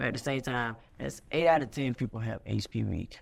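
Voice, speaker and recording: A woman with an American accent. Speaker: TV show creator and host. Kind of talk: casual interview chat.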